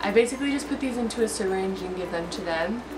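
There is noticeable background noise while a woman talks. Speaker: fish keeper vlogger. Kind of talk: tutorial. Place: home room. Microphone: camera far.

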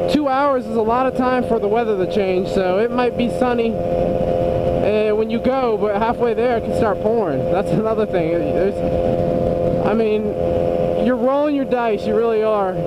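A man speaks at a moderate pace in a dry sound with no echo. Loud background noise is present. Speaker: motorcycle vlogger. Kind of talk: casual vlog chat. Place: motorbike. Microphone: helmet.

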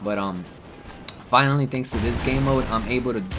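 Over noticeable background noise, a man talks in an animated tone with ordinary pitch variation. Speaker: gaming YouTuber. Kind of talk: gaming live commentary, casual and profane, recorded over gameplay. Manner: animated, frustrated, rapid chatter with constant swearing and reactions; casual, chatty, laughs at own mistakes.

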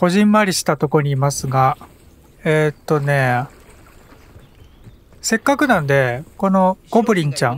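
A man with a fairly high pitch talks at a moderate pace, with lively intonation and long, frequent pauses. The sound is dry and close, with no echo. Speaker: gaming commentator. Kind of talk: casual let's play commentary. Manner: calm, occasionally loud when startled.

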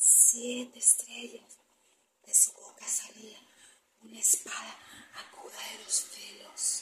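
A woman whispers in a solemn, dramatic tone at a very slow pace, with long, frequent pauses. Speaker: ASMR scripture reader. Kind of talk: scripture reading aloud as ASMR, dramatic narration. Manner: slow, hushed, solemn, dramatic delivery. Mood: dramatic, spooky storytelling. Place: home room. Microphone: phone near.

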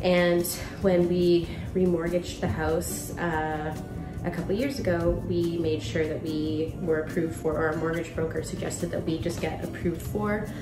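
Clear music plays in the background. The pace is moderate. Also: woman. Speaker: home renovator vlogger. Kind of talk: casual vlog chat. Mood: calm, reflective. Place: kitchen. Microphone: phone near.

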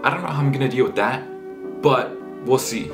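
Clear music plays in the background as a man speaks at a fairly quick pace. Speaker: student vlogger. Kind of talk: casual vlog chat. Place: home room.

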